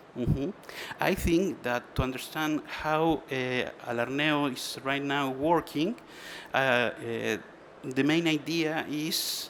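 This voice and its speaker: Speaking at a very slow pace with a non-native accent, a man keeps a fairly even intonation at a fairly high pitch. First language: Spanish. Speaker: trade association manager. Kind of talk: conference presentation. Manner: halting.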